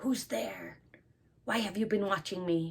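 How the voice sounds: Using a put-on character voice at a medium pitch, a woman talks at a fairly slow pace with a hissing sound.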